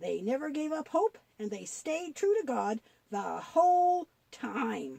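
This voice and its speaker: The voice is a cartoonish character voice. It moves at a fairly slow pace. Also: woman, high pitch for a woman. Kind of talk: Bible story telling. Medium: puppet.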